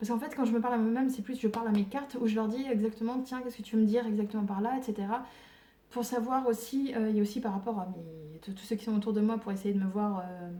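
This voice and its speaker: A woman talks very fast at a fairly high pitch with fairly even intonation. Noticeable background noise can be heard. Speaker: tarot reader. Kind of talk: tarot reading monologue. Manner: sometimes very soft-spoken.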